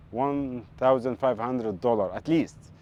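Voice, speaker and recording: A man speaks with a dark, mellow tone. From Egypt, Port Said. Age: 20s. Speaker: ship engineer, stranded seafarer. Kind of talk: interview testimony. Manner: halting.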